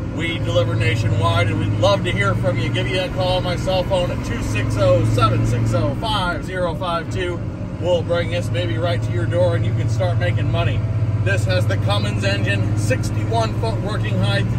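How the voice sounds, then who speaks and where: A man's moderately paced speech comes through loud background noise. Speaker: truck seller. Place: car. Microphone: phone near.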